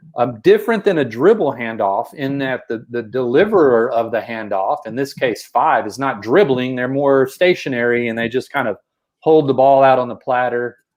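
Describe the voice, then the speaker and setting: A man talks in a Texas accent. He keeps a moderate pace. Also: medium pitch for a man, lively intonation, hardly any pauses. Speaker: basketball coach. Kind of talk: podcast discussion explaining basketball plays. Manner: repeats words, filler-heavy.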